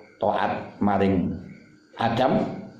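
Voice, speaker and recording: Audible room echo surrounds a man who speaks at a very slow pace. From Java, Indonesia. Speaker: Islamic teacher. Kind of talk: religious lecture reading a classical text. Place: home room. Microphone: phone near.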